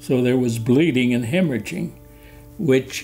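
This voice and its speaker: A man with a Midwestern American accent talks at a fairly slow pace, with medium pitch and ordinary pitch variation. Faint music plays in the background. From South Bend, Indiana. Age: 80s+. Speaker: alumnus, former congressional candidate. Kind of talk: interview answer. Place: home room.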